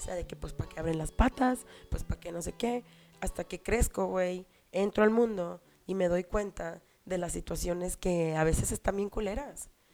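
Against music in the background, a woman with a Mexican accent talks at a moderate pace and a medium pitch with ordinary pitch variation. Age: 30s. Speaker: podcast host. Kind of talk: casual monologue. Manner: animated.

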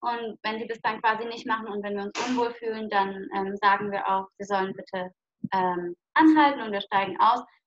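This is a woman with an ordinary speaking voice and fairly high pitch. She talks at a moderate pace with ordinary pitch variation. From southwest Germany, Lörrach. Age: 20s. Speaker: long-term hitchhiking traveller. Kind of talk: interview. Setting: video call.

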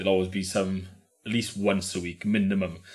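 Audible room echo surrounds a man's somewhat breathy voice at a very deep, low pitch. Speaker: former local resident, new father. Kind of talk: casual chat. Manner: deep and low.

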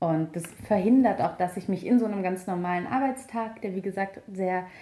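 Dark, mellow tone in a mid-pitched female voice. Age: 30s. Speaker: journalist and author. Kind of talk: interview.

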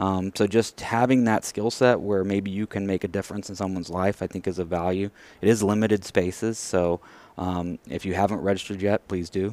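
A man speaks with a Texan accent at a fairly quick pace and fairly low pitch. His intonation is flat and monotone, and the sound is dry and close with no echo. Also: very clean recording, silent background. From West Texas, rural area near Abilene. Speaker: professional association executive. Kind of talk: interview.

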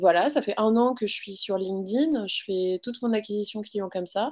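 A woman's dark, mellow tone at a moderate pace, over a quiet background. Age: 20s. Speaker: social media school founder. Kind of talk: interview.

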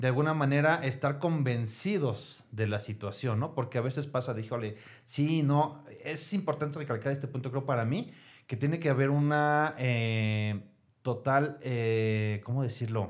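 A man speaks in a somewhat breathy voice, fairly high in pitch. His pitch varies in an ordinary way. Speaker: clinic administrative director. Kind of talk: casual chat.

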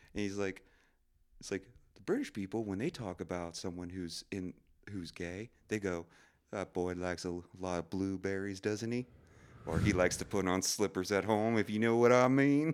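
Speaking at a moderate pace with long, frequent pauses, a man with a fairly low voice uses ordinary pitch variation, captured on a very clean recording with a silent background. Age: 30s. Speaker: stand-up comedian. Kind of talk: casual chat. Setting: studio.

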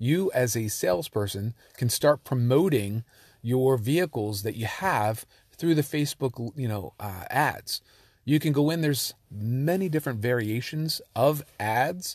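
A somewhat breathy man talks at a fairly slow pace, his intonation lively. The sound is dry and close with no echo, in a very clean recording over a silent background. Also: medium pitch for a man. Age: 40s. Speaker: SEO and digital marketing consultant. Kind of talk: solo monologue podcast. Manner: halting, frequent repetitions.

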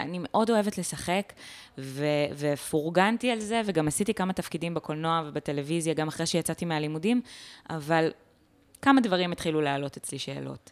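Speaking at a moderate pace, a woman uses a plain, everyday voice with a fairly low pitch and ordinary pitch variation. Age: 20s. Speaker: stand-up comedian. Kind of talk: casual interview chat.

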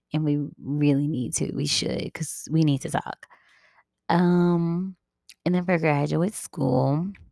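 A woman speaks quietly at a fairly slow pace. Her voice is very deep and low, with a dark, mellow tone. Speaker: podcast host. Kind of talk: casual monologue. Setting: at home.

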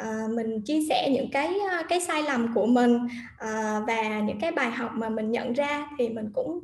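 A woman with a high-pitched voice talks at a fairly slow pace, with ordinary pitch variation and hardly any pauses. The room has an audible echo, and there is noticeable background noise. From Vietnam. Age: 30s. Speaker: guest sharing personal story. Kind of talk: livestream interview.

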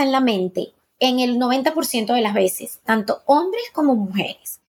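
With very wide pitch swings, a woman speaks at a high pitch and a fairly slow pace. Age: 50s. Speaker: gynecologist and sexologist. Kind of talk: interview.

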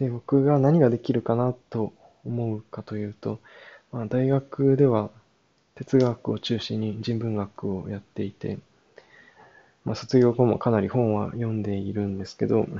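Medium in pitch and fairly even in intonation, a man speaks at a moderate pace. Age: 20s. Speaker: podcaster, yoga practitioner. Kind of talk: solo podcast monologue. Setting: old farmhouse. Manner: hesitant, many fillers.

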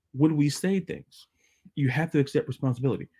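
In a very clean recording with a silent background, a man speaks at a fairly quick pace and a fairly high pitch, in a dark, mellow tone that is somewhat breathy, with ordinary pitch variation. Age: 30s. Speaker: sports podcast host. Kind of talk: solo podcast monologue. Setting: video podcast.

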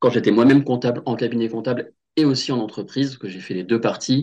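Over a quiet background, a man speaks at a fairly quick pace and medium pitch with ordinary pitch variation in a normal speaking voice. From western France, Loire-Atlantique (Nantes). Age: 30s. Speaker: career change coach. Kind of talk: casual interview.

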